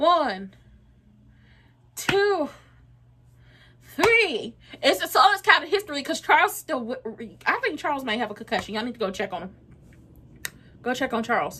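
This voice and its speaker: At a moderate pace and a high pitch, a woman speaks in a raised, projected voice with a bright, sharp, animated tone, very wide pitch swings, big swings in loudness, and long, frequent pauses. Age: 20s. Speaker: wrestling reaction streamer. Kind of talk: live watchalong commentary.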